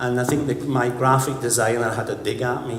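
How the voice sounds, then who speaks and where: The speech moves at a moderate pace. Audible room echo and noticeable background noise are present. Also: man. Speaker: conference speaker, creative director. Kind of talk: conference talk. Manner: animated.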